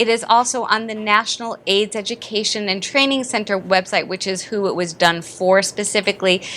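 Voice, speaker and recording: A woman talks fairly quickly with hardly any pauses. Background noise is noticeable throughout. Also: medium pitch for a woman. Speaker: dentist and dental educator. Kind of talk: lecture. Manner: fast; animated.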